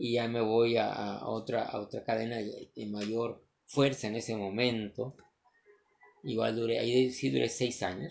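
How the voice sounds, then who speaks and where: With fairly even intonation and a pitch in the middle range, this man delivers his words fairly slowly. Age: 40s. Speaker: entrepreneur vlogger. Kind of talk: motivational monologue. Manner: halting.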